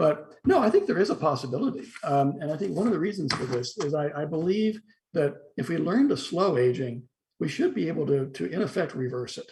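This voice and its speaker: A man with a fairly high pitch speaks at a fairly quick pace. His delivery is somewhat breathy, with lively intonation. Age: 60s. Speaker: philosophy professor. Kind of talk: interview discussion. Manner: halting with repetitions.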